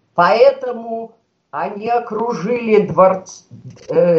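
A woman speaks with a fairly high pitch. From Russia, Saint Petersburg. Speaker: writer. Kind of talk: radio interview.

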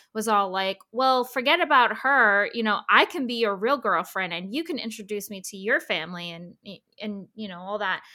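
A woman with an American accent speaks at a moderate pace in a bright, sharp tone. Her fairly high pitch shows ordinary variation, and her loudness swings widely. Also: very clean recording, silent background. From New Jersey, US. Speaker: podcast host guest. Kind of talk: casual chat.

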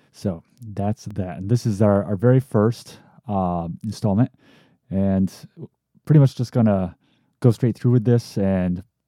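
A man with a fairly low pitch and an upstate New York accent speaks in a dark, mellow tone with ordinary pitch variation. The sound is dry and close with no echo, on a very clean recording with a silent background. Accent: upstate New York American. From upstate New York (Amsterdam, near Albany). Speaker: filmmaker and podcast host. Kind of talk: solo podcast monologue. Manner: casual with frequent fillers (uh, um).

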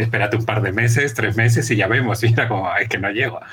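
A man speaks over noticeable background noise. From Chile. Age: 40s. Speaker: journalist and author. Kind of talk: interview.

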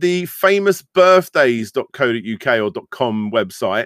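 A man at a fairly slow pace, medium in pitch, with a fairly bright tone, lively intonation, and a dry, close sound with no echo

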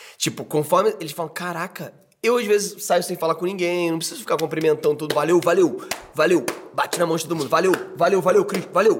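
There is noticeable background noise as a man speaks. His pitch is high and his pace fairly quick. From Brazil, Rio de Janeiro. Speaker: podcast host and actor. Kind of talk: casual chat.

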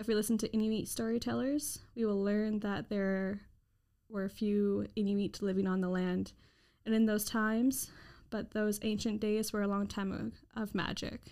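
A woman with a Canadian accent at medium pitch, monotone and flat, at a moderate pace on a very clean recording with a silent background. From Victoria, British Columbia, Canada. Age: 20s. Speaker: podcast co-host. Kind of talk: storytelling; casual chat.

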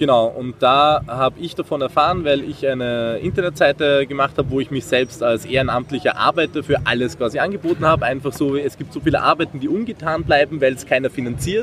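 With an Austrian accent, a man talks at a fairly quick pace with hardly any pauses, his fairly high pitch showing ordinary variation over noticeable background noise. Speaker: volunteer maker project organiser. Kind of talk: interview at a trade fair. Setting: trade fair floor.

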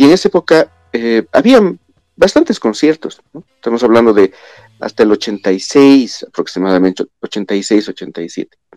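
Someone with a Bolivian accent speaks with big swings in loudness, the sound dry and close with no echo. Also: man, fairly slow pace. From La Paz, Bolivia. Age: 50s. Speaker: guest, metal music fan. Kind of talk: casual chat.

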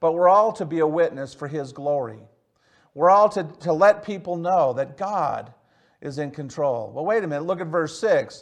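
A man speaks with a Michigan accent in a high voice. His pace is moderate and his pitch varies in an ordinary way. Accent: Midwestern American (Michigan). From Michigan, Detroit area. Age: 60s. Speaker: pastor. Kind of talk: sermon. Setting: church service, recorded for online viewers. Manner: halting, with frequent fillers and repeats.

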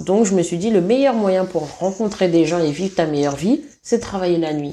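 The tone of this woman's voice is dark and mellow. She talks at a fairly slow pace. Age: 30s. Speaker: massage therapist. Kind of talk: casual chat. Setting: at the host's home.

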